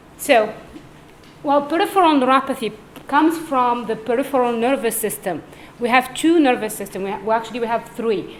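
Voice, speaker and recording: A woman talks fairly quickly in a high voice with lively intonation. Room echo and noticeable background noise can be heard. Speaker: neurologist. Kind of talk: lecture.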